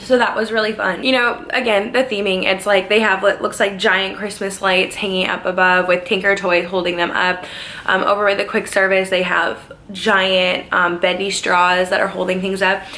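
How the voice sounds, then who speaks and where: A woman's medium-pitched, monotone, flat delivery at a moderate pace, with noticeable background noise. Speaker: theme park worker and vlogger. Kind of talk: casual vlog. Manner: chatty, many fillers.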